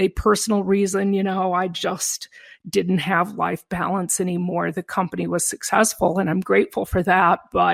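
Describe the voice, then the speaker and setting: A woman speaks at a medium pitch and moderate pace in an unremarkable speaking voice. The recording is very clean with a silent background and a dry, close sound with no echo. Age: 60s. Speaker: company founder. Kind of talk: panel discussion.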